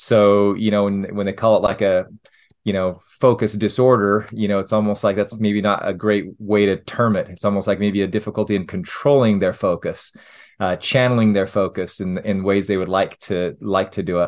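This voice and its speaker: A man with a Utah accent talks at a moderate pace with fairly even intonation. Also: fairly low pitch for a man, quiet background. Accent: American, Utah. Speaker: family physician. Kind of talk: interview. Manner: hesitant, many fillers.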